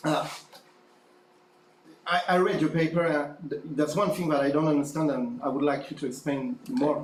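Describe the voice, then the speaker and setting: With audible room echo, a man speaks at a moderate pace and fairly high pitch, using ordinary pitch variation and long, frequent pauses. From France. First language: French. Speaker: academic conference audience member. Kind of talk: conference Q&A question. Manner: halting.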